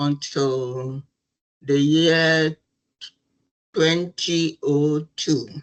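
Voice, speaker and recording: With intonation that stays fairly even, a woman talks. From Ghana. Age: 70s. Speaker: retired nurse and midwife, charity founder. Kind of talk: interview.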